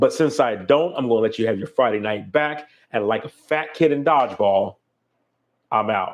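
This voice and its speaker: Lively intonation in a man's medium-pitched voice. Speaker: photographer and YouTuber. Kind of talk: live stream casual chat. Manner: halting, repeats words; fast.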